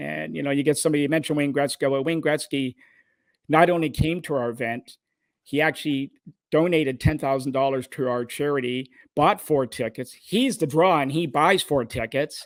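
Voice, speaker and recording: A man with a Canadian accent and a plain, everyday voice speaks fairly quickly at a fairly high pitch with fairly even intonation, on a very clean recording with a silent background. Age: 60s. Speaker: sports memorabilia collector. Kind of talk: interview storytelling.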